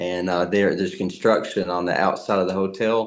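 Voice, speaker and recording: A man with a Southern US accent. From US South. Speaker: actor. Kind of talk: interview. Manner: halting, many fillers and repeats.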